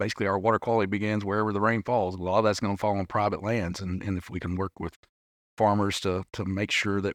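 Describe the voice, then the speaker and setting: Very fast and in a monotone, flat delivery, a man with an Arkansas accent speaks at a fairly low pitch, the sound dry and close with no echo. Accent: country accent from Arkansas. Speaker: fishery policy director. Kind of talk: casual chat. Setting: live at a conference.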